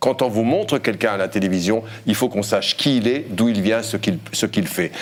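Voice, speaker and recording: A man talks at a moderate pace with a North African accent and lively intonation. Noticeable background noise runs behind him. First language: Berber (speaking French). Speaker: journalist, former broadcasting regulator member. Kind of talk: debate panel interview.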